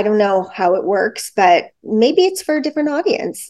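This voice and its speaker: In a Canadian accent, a woman with a normal speaking voice talks at a fairly quick pace, with medium pitch and ordinary pitch variation. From Toronto, Canada. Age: 40s. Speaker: competitive dancer. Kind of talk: casual chat.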